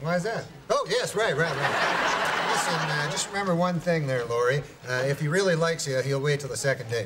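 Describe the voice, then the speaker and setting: A man talks at a fairly quick pace. Loud background noise is heard behind him. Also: ordinary pitch variation. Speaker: sitcom actor. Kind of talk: scripted comedy dialogue. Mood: playful, deadpan joking. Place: bar.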